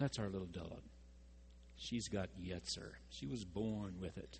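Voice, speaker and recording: An American-accented man, somewhat breathy, talks at a moderate pace. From Texas. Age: 60s. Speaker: pastor. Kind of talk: sermon.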